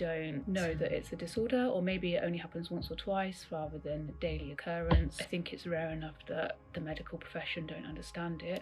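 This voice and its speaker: A woman with a British accent speaks with music in the background. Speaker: interviewee with a neurological disorder. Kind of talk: interview. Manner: hesitant.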